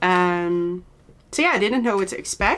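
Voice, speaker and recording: In a Dutch accent, a woman speaks at a medium pitch and moderate pace with ordinary pitch variation, on a very clean recording with a silent background. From Netherlands, Zaanstreek near Amsterdam. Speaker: knitting podcaster. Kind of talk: casual chat. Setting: home studio. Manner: halting, with frequent fillers.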